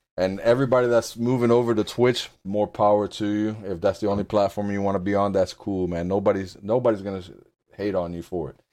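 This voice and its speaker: Against a quiet background, a man with a dark, mellow tone talks at a very fast pace with fairly even intonation. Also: fairly low pitch for a man. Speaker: podcast co-host. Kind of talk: casual chat. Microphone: new Blue Yeti microphone.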